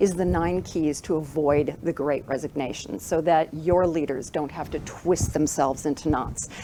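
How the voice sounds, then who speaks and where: A woman with a North American accent speaks over noticeable background noise. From United States. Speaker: keynote speaker. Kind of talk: keynote speech. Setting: stage with live audience and Zoom.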